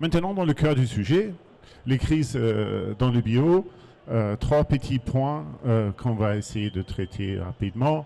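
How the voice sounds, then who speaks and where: A man with a German accent, a dark, mellow tone, lively intonation and a very slow pace. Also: medium pitch for a man. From Germany. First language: German (speaking French). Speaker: market research consultant. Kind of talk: conference talk. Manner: hesitant, many fillers.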